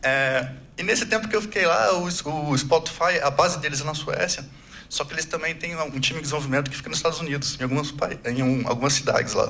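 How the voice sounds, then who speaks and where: Over noticeable background noise and audible room echo, a man with a Brazilian accent speaks at a very fast pace, fairly high in pitch, with ordinary pitch variation. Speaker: agile coach, conference speaker. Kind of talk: conference talk. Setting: stage with audience. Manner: casual, conversational.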